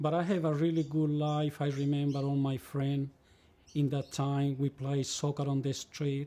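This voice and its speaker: With a Spanish accent, a man speaks at a moderate pace in a fairly high pitch, his intonation monotone and flat and his tone dark and mellow. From Chile, El Monte near Santiago. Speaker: immigrant interviewee, former leather cutter. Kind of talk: life story interview. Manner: halting, repeating words.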